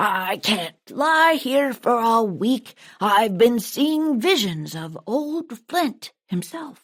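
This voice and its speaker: Using a put-on character voice, a woman speaks at a very slow pace with hardly any pauses, her fairly high, gruff voice showing very wide pitch swings. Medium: read story. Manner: gruff, barking.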